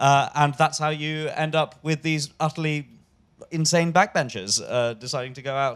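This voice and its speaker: In a London accent, a man with a fairly high pitch speaks at a moderate pace with ordinary pitch variation. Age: young. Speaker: stand-up comedian. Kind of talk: live comedy podcast interview. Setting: stage with live audience.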